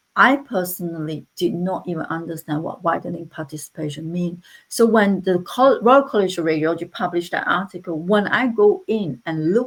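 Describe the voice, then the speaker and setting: A woman's fairly low-pitched voice at a fairly quick pace, with hardly any pauses and ordinary pitch variation. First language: not English. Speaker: interventional radiologist. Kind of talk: panel discussion. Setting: online live panel.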